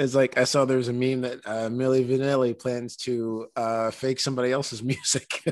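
A medium-pitched man talks in a monotone, flat intonation at a moderate pace with hardly any pauses. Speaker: podcast host. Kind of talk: casual interview chat.

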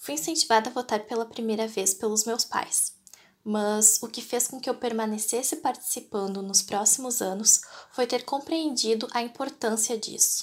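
At a moderate pace, a woman talks in an unremarkable speaking voice, fairly high in pitch with ordinary pitch variation. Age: 20s. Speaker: voter. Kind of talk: prepared statement.

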